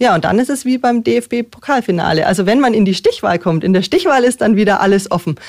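A woman talks in a plain, everyday voice at a fairly high pitch. Her pace is fairly quick with hardly any pauses, her loudness is very even, and her intonation is lively. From Munich (Aubing), Bavaria. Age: 40s. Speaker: politician, mayoral candidate. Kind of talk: radio interview. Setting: studio.

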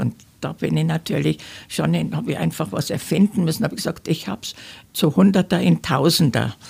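A woman's very deep, low voice carries noticeable vocal fry. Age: 80s+. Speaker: fraud victim, senior council speaker. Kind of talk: interview testimony. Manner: halting, many filler sounds.

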